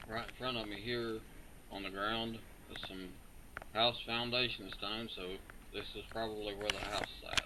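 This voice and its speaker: Over noticeable background noise and audible room echo, a man with an American accent talks at a moderate pace in a monotone, flat intonation, with long, frequent pauses. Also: medium pitch for a man. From southern West Virginia. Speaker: metal detecting hobbyist. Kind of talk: video narration. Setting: outdoors.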